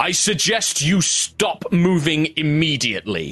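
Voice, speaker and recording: A man bellows in a put-on character voice, pitched fairly high, at a fairly slow pace. Music plays in the background. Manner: commanding, bellowing.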